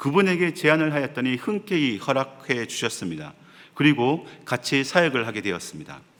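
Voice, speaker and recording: Fairly quick and fairly high in pitch, a man speaks in a bright, sharp tone. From South Korea, Gyeongsang province. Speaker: associate pastor. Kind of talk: sermon.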